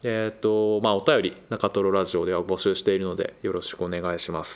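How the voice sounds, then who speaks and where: This man has a plain, everyday voice set at a fairly low pitch. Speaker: podcast host. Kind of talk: casual chat.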